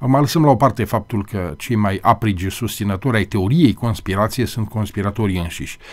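A man with a fairly low pitch speaks at a fairly quick pace with hardly any pauses. His pitch variation is ordinary. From Romania. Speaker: TV host. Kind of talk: interview discussion on TV. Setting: TV studio. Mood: earnest, critical. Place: studio. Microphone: studio mic.

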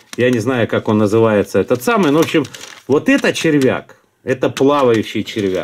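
Light background noise sits behind the speech. A man talks at a moderate pace. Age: middle-aged. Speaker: fishing video blogger; angler reviewing lures. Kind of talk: product review; casual product review. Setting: at home desk. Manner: casual, halting with fillers. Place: home room. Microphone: phone near.

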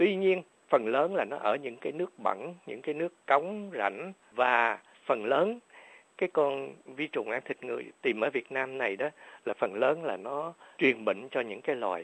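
A man speaks at a fairly high pitch with very wide pitch swings. His pace is moderate. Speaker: doctor. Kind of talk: radio health interview. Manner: halting, many fillers.

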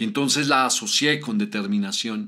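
The voice has a bright, sharp tone alongside a warm, dramatic one. It moves at a fairly slow pace with lively intonation. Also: man. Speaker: writer and narrator. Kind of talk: scripted first-person literary narration, reflective and nostalgic. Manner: slow, wistful, dramatic and emotional narration with soft pauses; formal, warm, addressing the audience directly.

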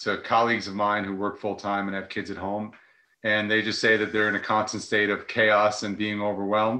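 A man's fairly low, bright, sharp voice in a monotone, flat delivery at a moderate pace, with an American accent and a quiet background. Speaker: nonprofit director, former teacher; guest. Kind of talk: casual interview on a live video call. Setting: video call. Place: home room. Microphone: earbuds.

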